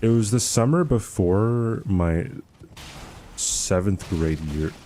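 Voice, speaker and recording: There is noticeable background noise as a man talks very slowly with lively intonation. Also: fairly low pitch for a man. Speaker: gaming streamer. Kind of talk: live stream chat while gaming. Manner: casual, filler-heavy.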